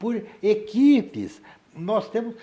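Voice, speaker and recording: Here a man speaks with a high pitch. His pace is very slow. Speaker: psychiatrist. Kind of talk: interview. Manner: animated.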